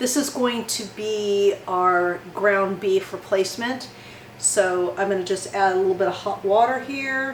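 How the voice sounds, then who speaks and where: Amid noticeable background noise and audible room echo, a woman speaks at a medium pitch and a fairly slow pace, with ordinary pitch variation. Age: 60s. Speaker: cooking channel host. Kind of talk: tutorial.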